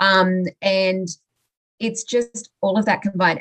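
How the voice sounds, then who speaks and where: A woman with an Australian accent talks at a moderate pace in a medium pitch, the sound dry and close with no echo. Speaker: mindset coach. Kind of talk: casual interview.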